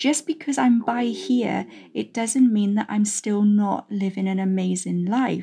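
Whispering at a fairly slow pace, a woman sounds somewhat breathy. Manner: strained, halting.

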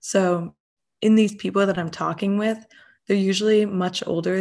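A woman speaks in a normal speaking voice at medium pitch with fairly even intonation. The recording is very clean, with a silent background. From Massachusetts. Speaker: entrepreneurship student and business owner. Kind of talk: interview.

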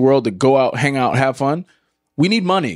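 In a very clean recording with a silent background, a man with a plain, everyday voice and a fairly high pitch speaks fairly quickly. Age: 20s. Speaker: podcast host and former athlete. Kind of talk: casual chat.

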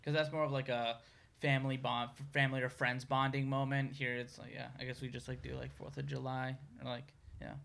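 A man with a medium pitch speaks at a fairly quick pace in a monotone, flat intonation, with big swings in loudness. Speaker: podcast co-host. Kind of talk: casual interview.

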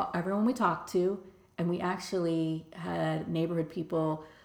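A woman speaks at a moderate pace in an unremarkable speaking voice. Her pitch sits fairly low, and her intonation stays fairly even. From Bronx, New York. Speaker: nonprofit leader. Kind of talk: interview.

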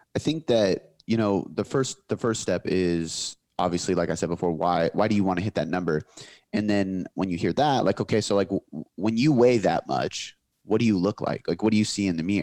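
This is an ordinary speaking voice from a man with a fairly low pitch. He moves at a fairly quick pace with ordinary pitch variation. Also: dry, close sound with no echo. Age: 20s. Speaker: fitness coach and business owner. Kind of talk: casual interview chat.

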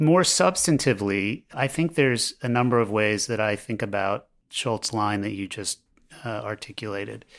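Here is a man with an American accent and an unremarkable speaking voice, fairly low in pitch with ordinary pitch variation. He goes at a moderate pace in a very clean recording with a silent background. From US, Baltimore. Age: 50s. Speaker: law professor. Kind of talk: interview.

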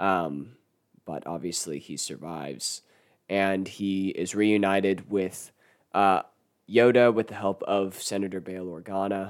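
At a fairly slow pace, a man speaks in a very deep, low voice. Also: ordinary pitch variation. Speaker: podcast host. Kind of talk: casual solo podcast monologue.

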